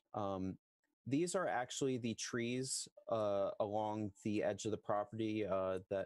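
Recorded dry with no echo against a quiet background, a man speaks with ordinary pitch variation. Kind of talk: presentation to committee. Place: home room. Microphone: headset.

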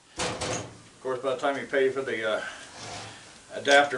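A man's voice under loud background noise. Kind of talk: casual tutorial chat while working. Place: workshop. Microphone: camera far.

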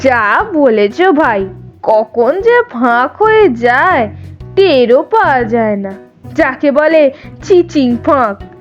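Against faint music in the background, a woman uses a put-on character voice, high and slow, with big pitch swings.

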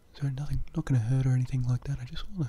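A man talks at a very fast pace, soft-spoken and somewhat breathy. His tone is dark and mellow, with fairly even intonation. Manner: soft, hushed close-mic ASMR voice. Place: home room. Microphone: webcam.

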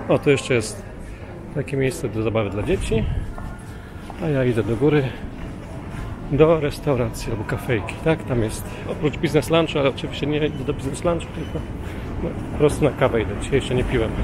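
A man talks at a fairly quick pace with ordinary pitch variation. Music plays behind a dry sound with no echo. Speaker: travel vlogger. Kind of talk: casual vlog chat. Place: station. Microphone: phone near.

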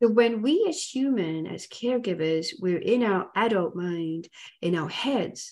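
Against a quiet background, a woman's dark, mellow tone carries lively intonation. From Africa. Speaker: hypnotherapist and animal communicator; interview guest. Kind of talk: interview. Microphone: video call.

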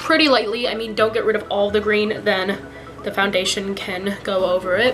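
Clear music behind a woman talking at a moderate pace. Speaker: teen beauty vlogger. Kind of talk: casual vlog tutorial chat. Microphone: phone near.

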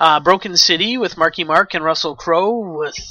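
A man with a Canadian accent speaks in a high, bright, sharp voice, with a dry, close sound and no echo. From Canada. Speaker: podcast host. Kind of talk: solo podcast commentary.

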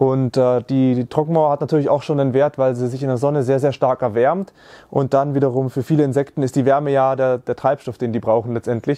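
A man talks at a fairly quick pace in a dark, mellow tone. His intonation stays monotone and flat against a quiet background. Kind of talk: explanatory walkthrough. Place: garden.

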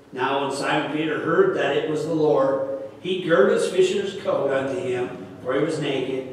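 A man talks in a room with strong echo and light background noise. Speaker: pastor. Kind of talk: sermon scripture reading. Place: church.

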